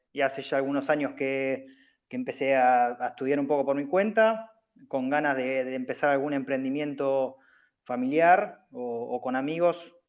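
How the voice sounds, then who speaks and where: A man speaks at a fairly high pitch. His pace is moderate and his pitch variation ordinary. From Argentina, Bahía Blanca. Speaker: student, professional basketball player. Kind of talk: self-introduction in class. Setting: video call. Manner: hesitant, many fillers.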